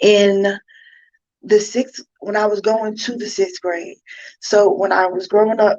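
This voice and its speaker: A woman speaks at a fairly slow pace in a flat monotone, with long, frequent pauses. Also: medium pitch for a woman. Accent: New York. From New York. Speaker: inspirational speaker and author. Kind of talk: personal testimony talk. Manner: casual, many fillers.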